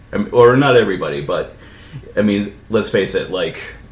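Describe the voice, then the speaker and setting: The room echo is audible. The pace is fairly quick. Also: man. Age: 40s. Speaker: podcast co-host, librarian. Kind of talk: casual chat.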